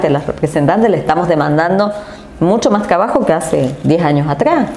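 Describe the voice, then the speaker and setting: There is noticeable background noise and audible room echo around a woman with a fairly low pitch. She speaks at a moderate pace with lively intonation. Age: 40s. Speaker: politician. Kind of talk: interview.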